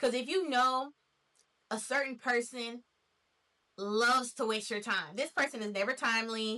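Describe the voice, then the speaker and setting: At a moderate pace and with long, frequent pauses, a woman with an American accent speaks in a bright, sharp, high-pitched voice with ordinary pitch variation. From Nashville, Tennessee, USA. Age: 20s. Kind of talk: casual talk to camera.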